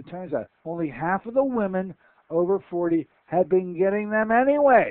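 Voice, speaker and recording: A man talks at a moderate pace with a high pitch and lively intonation. His loudness swings widely over a quiet background. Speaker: radio host. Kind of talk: radio show interview. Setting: radio studio. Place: studio. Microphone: headset.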